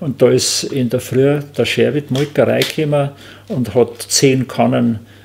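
Speaking fairly slowly with a Bavarian accent, a man is heard over light background noise. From Rosenheim, Upper Bavaria; Upper Bavaria. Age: 70s. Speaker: basket maker; witness. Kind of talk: oral history interview. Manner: halting. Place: workshop.

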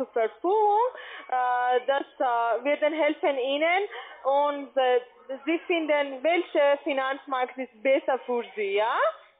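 A woman's high-pitched voice at a very slow pace, with ordinary pitch variation and light background noise. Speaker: telemarketer; caller. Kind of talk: sales pitch. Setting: phone call. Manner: halting. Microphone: phone line.

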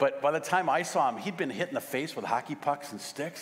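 Fairly quick speech comes from a man. He has an American accent. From US Midwest, St. Louis; US Midwest. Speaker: pastor. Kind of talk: sermon. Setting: church. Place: church.

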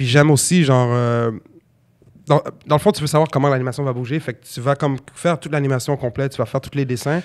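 The speaker talks at a very fast pace with fairly even intonation against a quiet background. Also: man. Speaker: rapper and battle rapper; podcast guest. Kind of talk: casual chat. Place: studio. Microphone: studio mic.

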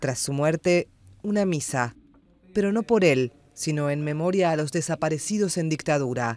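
A man with a normal speaking voice talks in a fairly high pitch with ordinary pitch variation. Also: moderate pace. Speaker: news reader. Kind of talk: tv news report, scripted. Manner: formal, measured; serious, even-paced delivery.

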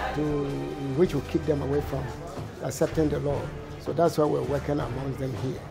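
A man speaks at a moderate pace with clear music playing behind him. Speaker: interviewee. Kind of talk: interview answer. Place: hall.

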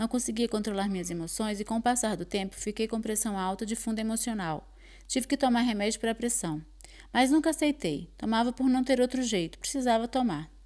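A woman's normal speaking voice, fairly high in pitch with ordinary variation and a fairly quick pace, on a very clean recording with a silent background. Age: 40s. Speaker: course participant. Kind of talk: testimony.

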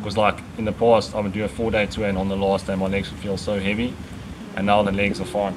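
Noticeable background noise sits behind a man speaking very fast. His pitch is fairly low. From South Africa, Pretoria; South Africa. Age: 20s. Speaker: vegan cyclist. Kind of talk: casual interview. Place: garden.

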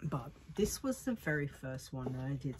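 Here a woman talks with an Australian accent. She keeps a fairly slow pace. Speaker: vlogger. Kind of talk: casual chat. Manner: casual, hesitant with fillers. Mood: cheerful, relaxed. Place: home room. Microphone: earbuds.

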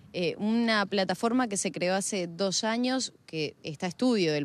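A woman of medium pitch speaks at a moderate pace with ordinary pitch variation. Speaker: TV field reporter. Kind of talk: interview. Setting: outdoors.

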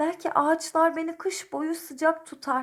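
A woman speaks in a put-on character voice at an extremely high pitch, with a gentle tone and a monotone, flat delivery. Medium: read story. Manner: gentle, polite.

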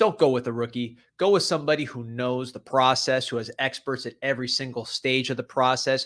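The man's intonation is fairly even at a moderate pace. The background is quiet. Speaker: podcast host. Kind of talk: ad read. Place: studio. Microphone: studio mic.

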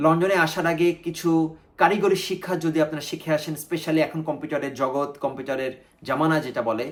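This is a man with an ordinary speaking voice, fairly high in pitch and fairly even in intonation, on a very clean recording with a silent background. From Bangladesh. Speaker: YouTuber. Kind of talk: personal storytelling vlog.

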